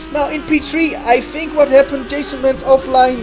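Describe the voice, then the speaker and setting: Noticeable background noise runs behind a man speaking at an extremely high pitch. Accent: non-native. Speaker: sim racing commentator. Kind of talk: live commentary. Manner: hesitant, many fillers; animated.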